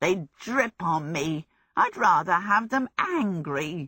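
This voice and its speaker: A growling, put-on character voice at a middle pitch moves along at a very slow pace. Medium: read story. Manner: grumbling, sardonic.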